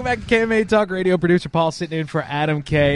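Pitch variation here is ordinary. The clip features an ordinary speaking voice. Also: man. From lives in Florida, moved there from elsewhere. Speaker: radio producer filling in as host. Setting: radio studio.

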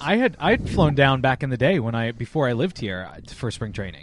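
A man speaks at a moderate pace in an ordinary speaking voice, his pitch sitting in the medium range. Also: lively intonation. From lives in Florida, moved there from elsewhere. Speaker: radio producer filling in as host. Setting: radio studio.

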